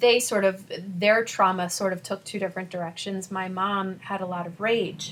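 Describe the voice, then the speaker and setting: Using a plain, everyday voice, a woman speaks at a medium pitch and a moderate pace with fairly even intonation. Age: 40s. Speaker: spiritual life coach. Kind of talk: podcast interview.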